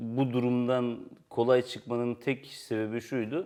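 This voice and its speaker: This man has a dark, mellow tone. His pitch sits in the medium range. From Turkey. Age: 30s. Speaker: writer and editor. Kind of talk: interview.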